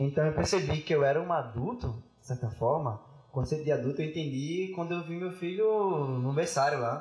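Music plays behind a man with a fairly high-pitched voice. He keeps a moderate pace with ordinary pitch variation, while his loudness swings widely. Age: 20s. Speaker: philosophy student and teacher. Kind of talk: casual chat. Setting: studio.

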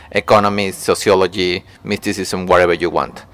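Heard dry and close with no echo, a man with a Spanish accent talks at a moderate pace. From Mexico. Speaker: artist. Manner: halting.

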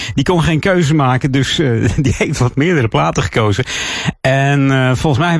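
There is noticeable background noise as a man with a fairly high pitch talks at a moderate pace. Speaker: radio host. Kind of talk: radio dj patter. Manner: relaxed, chatty, with filler 'uh'.

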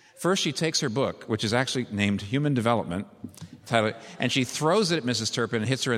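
A natural reading voice is heard throughout.

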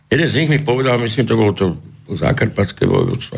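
This is a man speaking. There is noticeable background noise. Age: 60s. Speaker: politician, founder of a new movement. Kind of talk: radio interview. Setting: studio. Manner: halting.

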